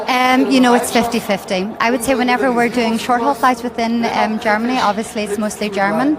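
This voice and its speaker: Fairly quick with hardly any pauses, a woman with an Irish accent speaks at a fairly high pitch and fairly even intonation over noticeable background noise. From Ireland. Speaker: flight attendant, purser. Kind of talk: interview.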